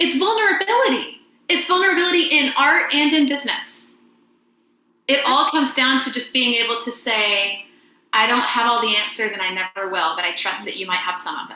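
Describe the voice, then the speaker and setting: High-pitched woman's voice in an American accent, very wide pitch swings, audible room echo. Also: fairly quick pace. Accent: Southern US accent, usually masked. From US South, rural Georgia. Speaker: voice teacher, presenter. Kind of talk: webinar presentation and Q&A.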